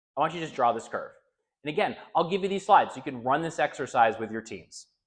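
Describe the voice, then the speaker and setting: Very fast speech from a man with a fairly high pitch and big swings in loudness, over a quiet background. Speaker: leadership coach. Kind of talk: conference keynote talk. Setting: stage with audience. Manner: animated.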